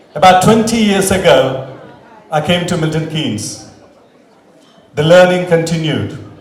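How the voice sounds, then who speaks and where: A man with an Indian accent and a high pitch, at a fairly slow pace with long, frequent pauses, amid noticeable background noise and audible room echo. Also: lively intonation. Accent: Indian English (Telugu). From South India (Telugu-speaking village). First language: Telugu. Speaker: community leader, award recipient. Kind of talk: acceptance speech. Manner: formal.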